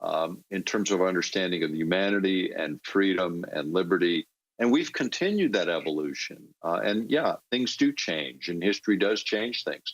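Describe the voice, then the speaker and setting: A man with a very deep, low pitch speaks at a moderate pace with hardly any pauses. His pitch variation is ordinary. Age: 60s. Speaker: political commentator. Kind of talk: political talk. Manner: halting, many fillers.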